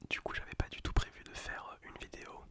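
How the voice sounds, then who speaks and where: A man whispering at a fairly slow pace against noticeable background noise. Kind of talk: ASMR casual talk to camera. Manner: whispered; casual, slangy.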